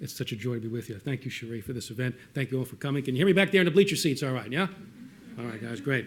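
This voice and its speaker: Speaking with lively intonation, a man talks in an American accent. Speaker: respondent, historian. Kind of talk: panel response talk.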